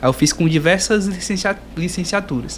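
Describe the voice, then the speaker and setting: A man is speaking at a moderate pace. His pitch moves up and down in an ordinary way. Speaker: podcast host, geography student. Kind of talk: casual interview.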